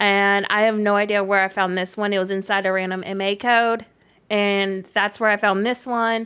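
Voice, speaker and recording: A woman speaks at a medium pitch and a moderate pace, her tone bright and sharp. Her intonation stays flat and monotone on a very clean recording with a silent background. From Canada. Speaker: gaming streamer. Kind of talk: live stream gameplay chat. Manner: casual, chatty.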